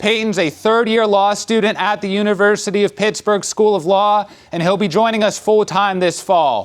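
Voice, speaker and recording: A loud man with a high pitch speaks at a moderate pace, hardly pausing at all. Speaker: lawyer. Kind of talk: public presentation. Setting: community center town hall with audience.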